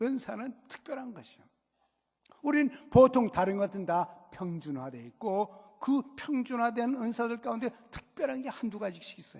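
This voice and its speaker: An animated voice speaking at a moderate pace. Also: man. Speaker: pastor. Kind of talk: sermon. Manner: conversational, animated.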